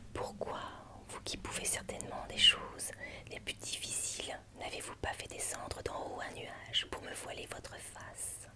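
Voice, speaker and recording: A woman whispers at a fairly slow pace, with big swings in loudness and noticeable background noise. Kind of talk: literary reading of a passionate letter from a lover. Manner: whispered, soft, slow.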